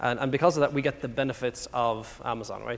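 With an Irish accent, this man speaks very fast at a medium pitch, his intonation fairly even. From Ireland. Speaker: tech company product executive. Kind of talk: conference talk. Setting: stage with audience. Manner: fast talker.

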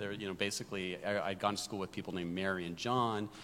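A man talks at a very fast pace in a very deep, low voice. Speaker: tech executive. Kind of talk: panel discussion.

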